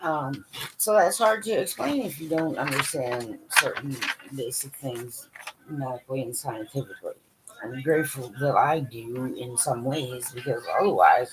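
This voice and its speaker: At a moderate pace over noticeable background noise, a woman with a very deep, low voice speaks with lively intonation and big swings in loudness. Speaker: vlogger with chronic illness. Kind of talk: casual monologue. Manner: uneven volume, sometimes loud.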